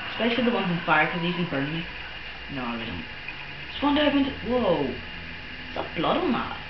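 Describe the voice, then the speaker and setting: Noticeable background noise accompanies this recording. A man speaks over it at a fairly quick pace. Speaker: gamer. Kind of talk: casual gameplay commentary. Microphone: camera far.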